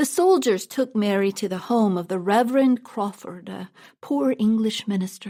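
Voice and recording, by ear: With ordinary shifts in pitch, the words are read aloud in a natural voice.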